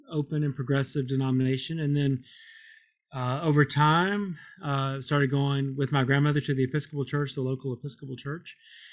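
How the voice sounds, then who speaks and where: A man's normal speaking voice with an American accent, fairly high in pitch, at a moderate pace. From Kentucky, US. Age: 50s. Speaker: Episcopal priest. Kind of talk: interview. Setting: remote call.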